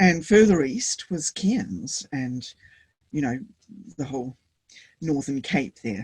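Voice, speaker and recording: Lively intonation in a woman's very deep, low-pitched voice. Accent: New Zealand. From New Zealand. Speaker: Buddhist teacher. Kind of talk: interview answer.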